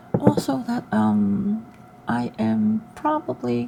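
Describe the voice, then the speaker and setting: Over noticeable background noise, a woman speaks in a calm tone at a very slow pace. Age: 40s. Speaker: solo travel vlogger. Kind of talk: casual talk to camera. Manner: soft-spoken, calm.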